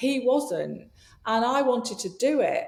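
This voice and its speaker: The speaker has an English accent. Noticeable background noise can be heard. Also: woman. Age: 60s. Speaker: leadership coach and yoga teacher. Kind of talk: podcast interview.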